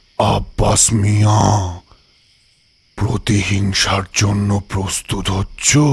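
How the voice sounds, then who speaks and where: A man's put-on character voice, fairly low and monotone, flat, at a very slow pace. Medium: audio drama. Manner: calm, measured.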